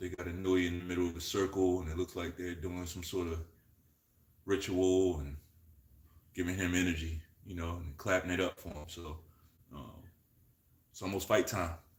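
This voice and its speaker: A soft-spoken, somewhat breathy man with a very deep, low pitch, monotone, flat intonation, a moderate pace broken by long, frequent pauses, and big swings in loudness. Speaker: boxing commentator streamer. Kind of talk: live fight commentary. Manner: casual, hesitant fillers.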